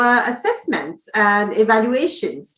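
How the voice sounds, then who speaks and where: This woman has a French accent. Her pace is fairly slow. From France. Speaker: language testing coordinator. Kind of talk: webinar presentation. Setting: online video session.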